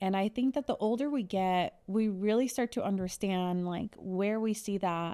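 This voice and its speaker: In an American accent, a woman with a medium pitch and a dark, mellow tone speaks at a moderate pace with hardly any pauses, very even loudness and ordinary pitch variation, on a very clean recording with a silent background. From US, Mexican American family. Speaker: podcast host. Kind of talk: casual chat.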